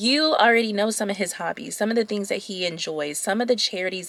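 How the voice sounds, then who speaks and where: Her medium-pitched voice is an unremarkable speaking voice, and the woman uses ordinary pitch variation. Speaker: lifestyle YouTuber giving dating advice. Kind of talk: casual chat to camera.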